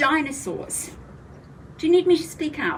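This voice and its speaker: A woman with a New Zealand accent is heard with noticeable background noise and audible room echo. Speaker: fashion designer. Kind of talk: live product presentation. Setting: livestream video.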